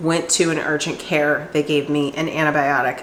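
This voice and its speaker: A woman talks at a fairly slow pace, with audible room echo and noticeable background noise around her. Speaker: cooking vlogger. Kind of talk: casual vlog talk.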